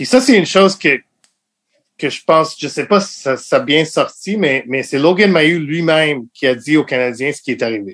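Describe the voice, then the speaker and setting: Lively in intonation and fairly high in pitch, a man talks at a moderate pace in an unremarkable speaking voice. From Montreal, Quebec (anglophone west end, Côte-Saint-Luc). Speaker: sports journalist and editor. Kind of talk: casual interview.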